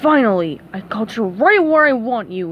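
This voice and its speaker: A gruff, put-on character voice comes at a moderate pace. Clear background noise is audible. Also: woman, fairly high pitch for a woman. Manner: menacing, triumphant.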